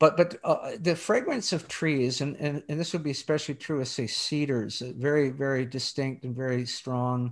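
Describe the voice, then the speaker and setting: This man has a plain, everyday voice with a fairly high pitch and ordinary pitch variation. He speaks at a moderate pace on a very clean recording with a silent background. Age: 60s. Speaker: theology professor and author. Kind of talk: interview about his book.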